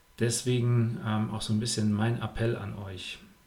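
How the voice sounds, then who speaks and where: At a fairly slow pace, a man with a medium-pitched, somewhat breathy voice speaks. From Germany. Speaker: triathlon coach and podcast host. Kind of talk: podcast monologue with advice. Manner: casual, frequent filler sounds.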